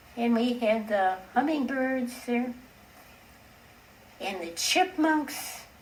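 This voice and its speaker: Against noticeable background noise, a woman speaks very slowly in a warm, high voice, with long, frequent pauses. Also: big swings in loudness. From city. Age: 80s+. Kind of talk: oral history interview answer. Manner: reminiscing, warm.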